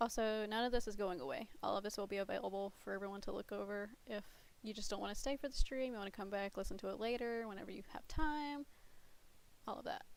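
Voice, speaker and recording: A woman speaks at a very fast pace with medium pitch and ordinary pitch variation. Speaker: streamer. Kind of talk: livestream announcement.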